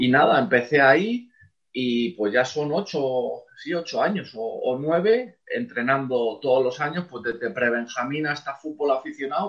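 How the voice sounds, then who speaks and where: Here a man with a plain, everyday voice talks at a fairly slow pace. His pitch is fairly high, and his intonation is lively. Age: 30s. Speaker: football coach. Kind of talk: interview.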